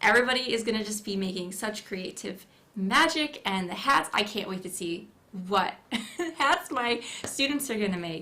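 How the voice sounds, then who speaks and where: A woman at a medium pitch with lively intonation, against noticeable background noise. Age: 30s. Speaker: felt artist and hat maker. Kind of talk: casual interview chat. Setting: studio livestream. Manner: soft-spoken.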